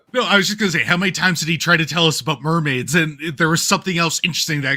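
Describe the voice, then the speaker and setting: At a very fast pace, a man with a fairly high pitch sounds animated, his tone bright and sharp and his pitch variation ordinary. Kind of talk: casual chat.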